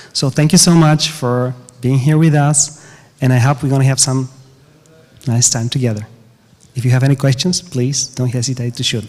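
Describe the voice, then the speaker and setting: A man with a Bulgarian accent, medium pitch, fairly even intonation, a somewhat breathy voice, a moderate pace and long, frequent pauses. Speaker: game music composer. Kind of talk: panel discussion. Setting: conference stage with audience.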